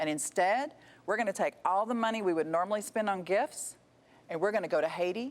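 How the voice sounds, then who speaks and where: A woman talks in an animated tone. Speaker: author and charity founder. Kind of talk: interview storytelling.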